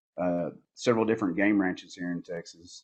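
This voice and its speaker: Talking at a fairly quick pace, a man with a Southern US accent speaks in a very deep, low voice with flat, monotone intonation. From Northeast Arkansas, US South. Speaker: border patrol agent and outdoor photographer. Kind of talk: casual podcast interview.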